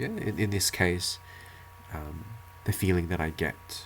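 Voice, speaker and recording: Somewhat breathy and very deep, a man's low voice holds fairly even intonation. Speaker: English teacher. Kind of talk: tutorial. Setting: one-take home video recording. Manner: halting, with fillers and repetitions.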